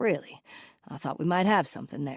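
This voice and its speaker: A raspy, put-on character voice at middle pitch and a fairly quick pace. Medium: read story.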